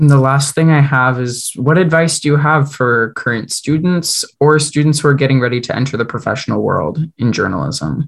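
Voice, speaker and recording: Somewhat breathy, a man talks with a fairly high pitch and fairly even intonation. He keeps a moderate pace with hardly any pauses. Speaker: student radio interviewer. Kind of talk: interview questions.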